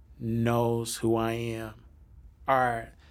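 A man speaks at a very slow pace with a medium pitch, and the room echo is audible. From United States. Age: 30s. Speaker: hip hop artist. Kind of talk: interview. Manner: casual.

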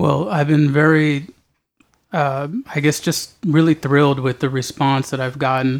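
A man with an American accent and a normal speaking voice, fairly high in pitch, at a fairly slow pace with fairly even intonation. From Southern California. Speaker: poet. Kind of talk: interview. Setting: at home.

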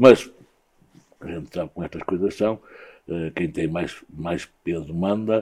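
A man speaks at a moderate pace in a dark, mellow tone, his pitch varying ordinarily against a quiet background. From northern Portugal, Guimarães. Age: 60s. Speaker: former handball player and sports club director. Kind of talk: interview. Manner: halting, many repetitions.

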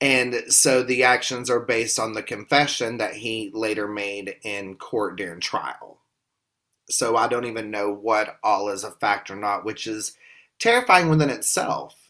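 In a very clean recording with a silent background, a man puts on a raspy character voice at a medium pitch and a moderate pace. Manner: monotone.

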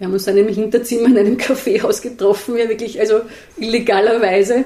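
This woman's voice is fairly high, at a moderate pace. Noticeable background noise runs underneath. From Austria, Vienna. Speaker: journalist and author. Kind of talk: interview conversation. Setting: on a couch in a living room. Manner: hesitant, with fillers and repetitions.

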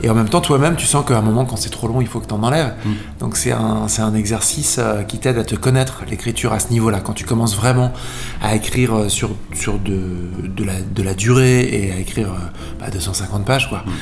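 Noticeable background noise and audible room echo accompany speech at a fairly quick pace. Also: man, fairly low pitch for a man, ordinary pitch variation. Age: 30s. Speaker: singer-songwriter and author. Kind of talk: radio interview.

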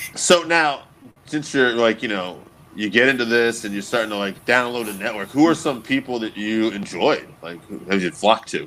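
A man speaks at medium pitch in a normal speaking voice, with ordinary pitch variation, big swings in loudness and a moderate pace. The recording is very clean, with a silent background. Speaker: podcast host, interviewer. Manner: casual, relaxed.

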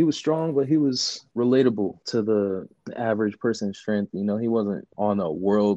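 Speaking with an American accent, a man has an unremarkable speaking voice, a fairly low pitch and ordinary pitch variation. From Queens, New York. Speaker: powerlifting coach. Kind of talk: casual chat.

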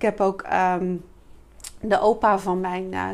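Very slowly, a woman delivers her words with fairly even intonation. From Rotterdam, Netherlands. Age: 50s. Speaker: sales coach and entrepreneur. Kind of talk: casual interview. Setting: showroom.

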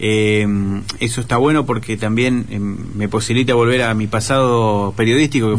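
The voice belongs to a man. Audible room echo hangs around his words. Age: 40s. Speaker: writer and journalist. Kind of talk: radio interview.

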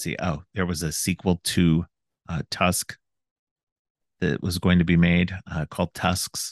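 Very deep, low-pitched man with vocal fry and fairly even intonation, dry and close with no echo against a quiet background. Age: 40s. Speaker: podcast host. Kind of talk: casual chat. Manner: halting, many fillers.

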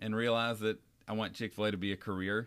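A man with a North Carolina accent speaks at a moderate pace in a fairly low voice, recorded very cleanly against a silent background. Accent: Southern US (North Carolina). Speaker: podcast co-host, restaurant owner-operator. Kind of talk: casual chat.

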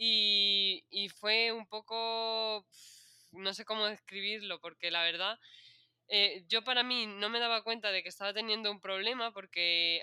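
Fairly slow and fairly even in intonation, a woman talks at a medium pitch. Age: 20s. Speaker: nurse. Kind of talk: interview. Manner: halting.

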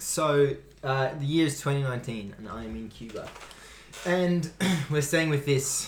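In an Australian accent, a man speaks at a fairly slow pace and fairly high pitch, somewhat breathy, with ordinary pitch variation and audible room echo. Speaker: basketball podcast co-host. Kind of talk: casual chat.

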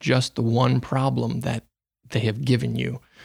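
Vocal fry runs through this voice, heard in a dry, close sound with no echo. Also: man. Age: 20s. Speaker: manufacturing field technician. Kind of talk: interview.

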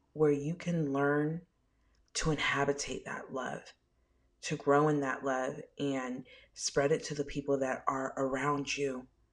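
A woman speaks with a very deep, low pitch. The background is quiet. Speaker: spiritual medium podcaster. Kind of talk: casual solo podcast intro. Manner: animated, sassy, casual.

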